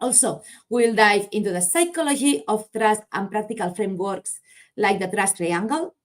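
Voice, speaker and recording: A woman speaks with a slight Spanish accent and a fairly high pitch. Her intonation is lively and her pace moderate. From Spain, Barcelona. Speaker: marketing agency founder, conference speaker. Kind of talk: conference presentation. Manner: halting, some self-corrections.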